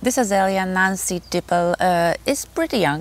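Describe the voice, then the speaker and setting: A woman speaks with a Polish accent. Her pace is fairly slow and her pitch fairly low. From Poland. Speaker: gardening youtuber. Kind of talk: casual tutorial. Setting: outdoors in garden. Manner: halting, frequent fillers.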